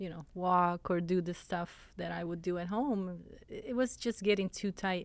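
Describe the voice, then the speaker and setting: The recording is very clean with a silent background. A woman speaks fairly slowly at a medium pitch with ordinary pitch variation. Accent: Italian. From Italy. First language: Italian. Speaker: fitness coach. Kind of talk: interview.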